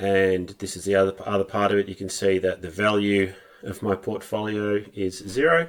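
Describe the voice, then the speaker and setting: Speaking with an Australian accent, a man talks at a moderate pace in a fairly low pitch. His tone is relaxed and his intonation fairly even. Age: middle-aged. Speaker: personal investor, video blogger. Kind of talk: casual talk to camera. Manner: relaxed, with fillers.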